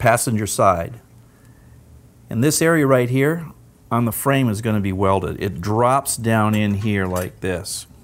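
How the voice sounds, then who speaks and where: Male speech with ordinary pitch variation at a moderate pace. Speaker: presenter. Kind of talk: product demonstration tutorial. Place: studio.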